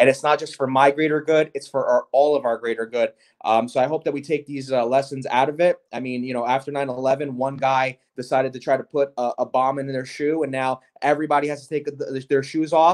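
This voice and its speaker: A man with a New Jersey accent speaks at a fairly high pitch. He moves at a fairly quick pace with hardly any pauses. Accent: New Jersey American. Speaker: gelato chef and shop owner. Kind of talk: interview. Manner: animated.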